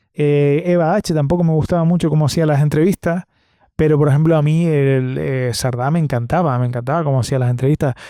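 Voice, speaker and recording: A man with a Canarian accent speaks at a fairly quick pace in a fairly high pitch, his tone dark and mellow. His loudness stays very even and his intonation fairly even, on a very clean recording with a silent background. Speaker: podcast host. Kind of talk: solo podcast monologue. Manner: hesitant, many fillers and repetitions.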